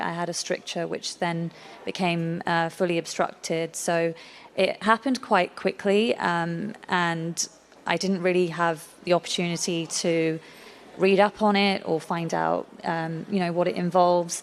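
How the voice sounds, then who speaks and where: A woman's fairly low voice, fairly even in intonation, at a moderate pace. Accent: British. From Britain. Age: young. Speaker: patient advocate. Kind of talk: personal testimony at a conference.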